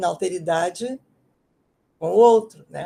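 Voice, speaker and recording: A woman talks at a fairly slow pace in a dark, mellow tone with ordinary pitch variation. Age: 80s+. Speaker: author and education professor. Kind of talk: book presentation in an online talk. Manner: halting, with many repetitions and fillers.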